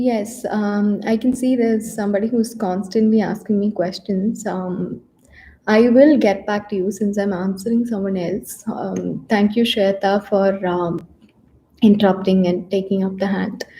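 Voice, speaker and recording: A woman speaks in a Keralan accent at a fairly slow pace with fairly even intonation. Her tone is dark and mellow, and somewhat breathy. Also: medium pitch for a woman. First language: Malayalam. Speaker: psychologist giving mental health talks. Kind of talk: live stream talk. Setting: YouTube live session. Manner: hesitant, many fillers.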